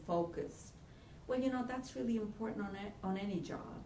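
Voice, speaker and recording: A woman speaks at medium pitch with ordinary pitch variation. There is audible room echo and noticeable background noise. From Italy. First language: Italian. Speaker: college career center director. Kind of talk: workshop lecture. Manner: halting.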